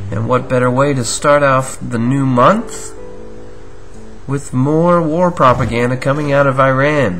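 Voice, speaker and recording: Over music in the background, a man talks at a fairly slow pace in a medium pitch with ordinary pitch variation. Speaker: conspiracy show host. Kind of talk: casual commentary show. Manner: calm, non-sensational.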